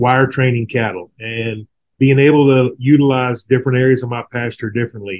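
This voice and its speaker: A fairly quick, monotone delivery with flat intonation in a Texan accent. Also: man. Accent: Texas Southern American. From Texas, near Houston. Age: 40s. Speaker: rancher. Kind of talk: casual interview.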